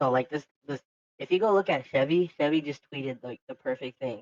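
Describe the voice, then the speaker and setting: Music plays in the background as a man with a medium pitch speaks with ordinary pitch variation. His voice sounds dry and close, with no echo. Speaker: video game cheater. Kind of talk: interview answer. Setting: voice chat call. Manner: casual.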